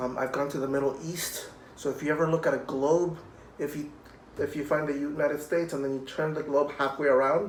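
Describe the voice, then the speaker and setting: Monotone, flat delivery at a fairly quick pace, with audible room echo and noticeable background noise. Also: man. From Puerto Rico. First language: Spanish. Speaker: cellist. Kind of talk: children's music program talk. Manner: friendly, addressing children.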